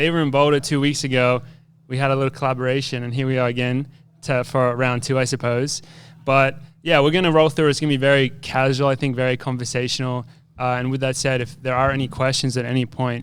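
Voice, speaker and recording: Very clean recording, silent background. A man speaks at a medium pitch and a very fast pace, in a monotone, flat intonation. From Australia. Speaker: professional runner. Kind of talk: live podcast conversation. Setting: live recording at expo with audience. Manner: casual, halting with fillers.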